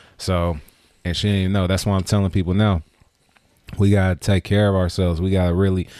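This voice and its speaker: In an American accent, a man with a very deep, low voice talks at a fairly quick pace in a dark, mellow tone. He leaves long, frequent pauses, and the recording is very clean with a silent background. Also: very even loudness. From Richmond, California (Bay Area). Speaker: community figure and event promoter. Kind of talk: casual chat. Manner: animated.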